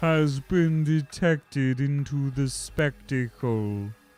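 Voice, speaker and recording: Someone speaks in a put-on character voice. Faint music plays in the background. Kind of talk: archaic, formal. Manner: ominous, grandiose.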